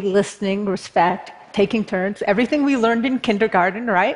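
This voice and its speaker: A woman's unremarkable speaking voice, fairly high in pitch, with an American accent, ordinary pitch variation and a moderate pace. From Berkeley, California. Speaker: political activist. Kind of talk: talk to an audience.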